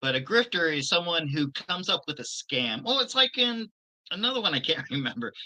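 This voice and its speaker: A man speaks loudly at a fairly quick pace. His high voice swings very widely in pitch. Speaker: former teacher, show co-host. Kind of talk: casual chat.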